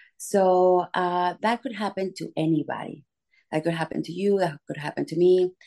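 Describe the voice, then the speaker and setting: The voice has a dark, mellow tone and a non-native accent, moving at a moderate pace with ordinary pitch variation. The background is quiet. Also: woman, fairly low pitch for a woman. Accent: noticeable foreign. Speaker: congressional candidate. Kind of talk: interview.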